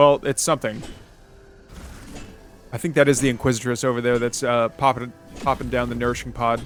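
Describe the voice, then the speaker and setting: Music plays in the background. Over it, a man speaks with an American accent. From United States. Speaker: esports tournament caster. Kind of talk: game commentary. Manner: casual, excitable.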